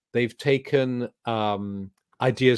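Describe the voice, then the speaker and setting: Here a man speaks with an English accent at a medium pitch. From England. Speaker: spiritual teacher. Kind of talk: interview. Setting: video call.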